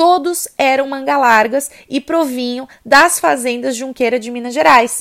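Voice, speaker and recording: A woman is speaking. Her pitch is high. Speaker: podcast host and riding instructor. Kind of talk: educational monologue.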